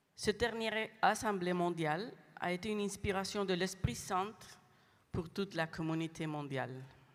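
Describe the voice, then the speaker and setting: A woman with a non-native accent speaks at a moderate pace with ordinary pitch variation. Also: medium pitch for a woman. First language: not French (speaking French). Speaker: international lay community representative. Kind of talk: prepared speech. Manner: halting.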